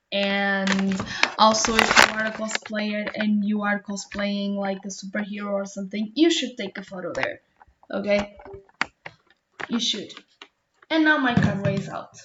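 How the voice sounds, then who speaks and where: A woman with a Portuguese accent speaks at a fairly slow pace, her pitch medium and its variation ordinary. She leaves long, frequent pauses. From Portugal. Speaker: Twitch streamer reacting to a video. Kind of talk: casual reaction commentary.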